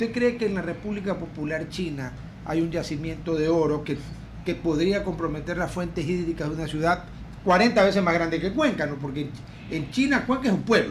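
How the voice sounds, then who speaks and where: Audible room echo surrounds a man talking at a fairly quick pace. His voice is high-pitched, with ordinary pitch variation. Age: 70s. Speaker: radio host. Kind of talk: radio talk show interview. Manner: animated.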